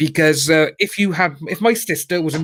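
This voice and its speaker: A man speaks at a moderate pace with a Cardiff accent. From Wales, Cardiff. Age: 30s. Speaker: YouTuber guest on live stream. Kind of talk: casual chat.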